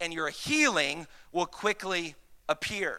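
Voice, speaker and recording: A man talks in a raised, projected voice with a Southern US accent. His tone is bright and sharp. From US South. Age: 30s. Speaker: pastor. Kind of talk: Sunday sermon, a preacher in full flow rallying the congregation to shout back. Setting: church with live congregation. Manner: rapid, repetitive and stumbling with excitement, restarting phrases.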